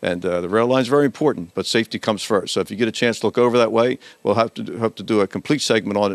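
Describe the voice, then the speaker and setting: A man talks at a very fast pace with a fairly low pitch and ordinary pitch variation. The sound is dry and close, with no echo. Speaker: local TV show host. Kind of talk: casual interview chat. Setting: hardware store.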